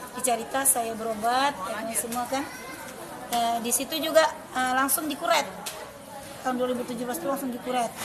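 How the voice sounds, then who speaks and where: Over crowd noise and audible room echo, a woman talks at a fairly quick pace in a high pitch, leaving long, frequent pauses. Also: fairly even intonation. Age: 40s. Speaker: product testimonial giver. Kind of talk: testimony. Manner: halting.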